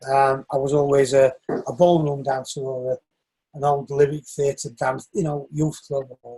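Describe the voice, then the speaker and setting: Someone with a northern English accent speaks at a moderate pace in a dark, mellow, somewhat breathy tone, with flat, monotone intonation but big swings in loudness. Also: man, fairly high pitch for a man. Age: 60s. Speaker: shoemaker and northern soul dancer. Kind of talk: interview.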